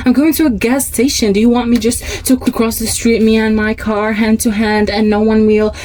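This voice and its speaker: A woman's fairly high, animated voice at a moderate pace, with noticeable background noise. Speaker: podcast host. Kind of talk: scripted monologue. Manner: loud.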